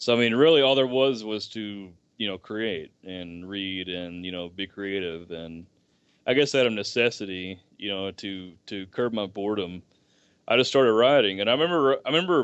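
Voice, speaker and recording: A man speaks at a moderate pace in a fairly low voice with ordinary pitch variation. His loudness swings widely. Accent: Southern US. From US South, rural deep Southeast. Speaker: writer. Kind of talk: podcast interview. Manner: halting, many fillers and restarts.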